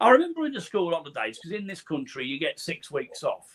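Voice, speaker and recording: Speaking with an East Midlands accent, a man moves through very wide pitch swings. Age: 60s. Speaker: podcast host, guest on show. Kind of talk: casual chat.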